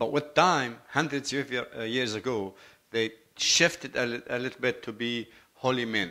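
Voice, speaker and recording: A man with a Lebanese accent speaks at a moderate pace and medium pitch. His tone is bright and sharp, and the recording is very clean with a silent background. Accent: foreign accent (Lebanese). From Lebanon, Beirut. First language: Arabic. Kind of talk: testimony. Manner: halting, self-correcting.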